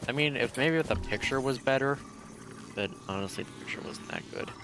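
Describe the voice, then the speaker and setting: Noticeable background noise beneath a man talking at a fairly quick speed. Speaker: video game streamer. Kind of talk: casual gaming livestream commentary.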